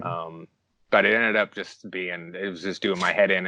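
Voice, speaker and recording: Over a quiet background, a man with a very deep, low pitch and a bright, sharp tone talks at a fairly quick pace in a dry, close sound with no echo. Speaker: YouTuber researching Nintendo cut content. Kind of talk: podcast interview answer. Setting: Skype call through earbud mic.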